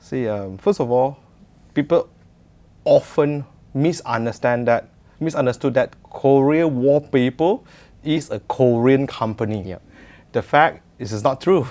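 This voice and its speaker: At a fairly slow pace with long, frequent pauses, a man speaks in a dark, mellow tone with ordinary pitch variation. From Malaysia. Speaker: entrepreneur. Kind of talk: interview. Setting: studio. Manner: hesitant, many fillers. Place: studio.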